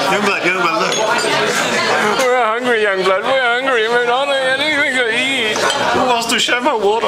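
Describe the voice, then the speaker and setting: With crowd noise behind him, a man talks at a fairly slow pace. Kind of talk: casual vlog chat. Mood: joking, playful complaining. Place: cafe. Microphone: phone near.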